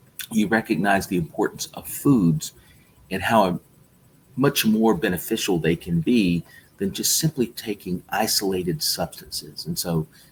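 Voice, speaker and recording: A man with a plain, everyday voice, fairly low in pitch, lively intonation and a moderate pace. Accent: American. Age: 60s. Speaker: health supplement company founder. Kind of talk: interview.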